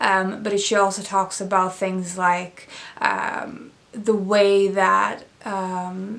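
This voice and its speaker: This woman speaks in a Swedish accent at a medium pitch, her intonation flat and monotone. Room echo is audible. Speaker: book reviewer. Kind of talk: casual book review vlog. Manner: hesitant, many fillers.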